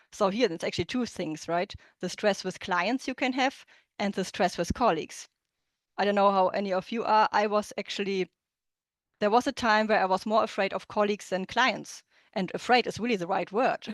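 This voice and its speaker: A woman with a German accent speaks fairly quickly at medium pitch with ordinary pitch variation. The sound is dry and close with no echo, and the background is quiet. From Germany. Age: 30s. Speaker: interpreter and business coach. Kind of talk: online workshop presentation. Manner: halting, with many fillers and restarts.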